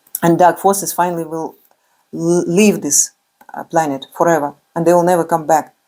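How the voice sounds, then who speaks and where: A woman's fairly low, dark, mellow voice with a non-native accent, monotone, flat intonation, a moderate pace and long, frequent pauses. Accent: non-native English, remarked by speaker. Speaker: spiritual speaker. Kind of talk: religious motivational talk. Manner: halting, many fillers.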